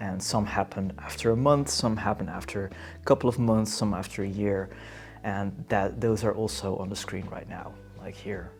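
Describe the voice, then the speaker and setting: A man with a Dutch accent, fairly low in pitch, at a moderate pace with ordinary pitch variation and big swings in loudness, music in the background. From Netherlands. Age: 30s. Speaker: vlogger. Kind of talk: casual chat. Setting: indoors on a couch. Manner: laid-back, halting.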